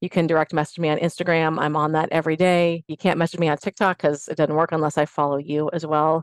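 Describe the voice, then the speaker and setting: Against a quiet background, a woman with a fairly low pitch speaks in a monotone, flat intonation, the sound dry and close with no echo. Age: 50s. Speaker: fitness instructor and personal trainer. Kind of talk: casual chat.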